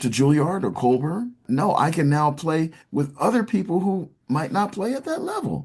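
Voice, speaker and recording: A man with an American accent sounds somewhat breathy as he speaks with lively intonation. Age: 70s. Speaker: youth orchestra founder and conductor. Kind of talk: interview.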